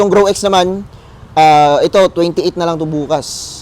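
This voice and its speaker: The pace is fairly slow. Noticeable background noise is present. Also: man. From Philippines, South Cotabato. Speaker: feed store vendor. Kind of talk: sales pitch. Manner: upbeat, promotional, with filler pauses.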